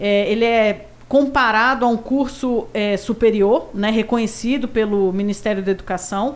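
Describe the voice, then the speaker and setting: The delivery has fairly even intonation and very even loudness at a moderate pace. Noticeable background noise is present. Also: woman, fairly high pitch for a woman, hardly any pauses. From Brasília, Brazil. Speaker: retired police colonel. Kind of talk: interview. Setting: studio.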